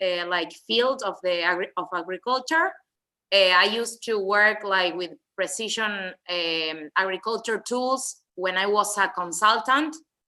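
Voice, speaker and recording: At a fairly slow pace, a voice with a Spanish accent sounds bright and sharp, with ordinary pitch variation against a quiet background. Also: woman, medium pitch for a woman. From Argentina. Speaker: graduate student presenter. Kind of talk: panel introduction. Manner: halting.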